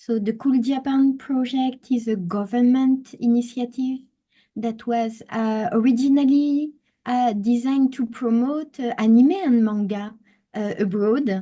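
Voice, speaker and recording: Speaking at a fairly slow pace, a woman with a French accent has a high pitch, fairly even intonation and a dark, mellow tone. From France. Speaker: travel experience designer. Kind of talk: webinar presentation. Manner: hesitant, many fillers.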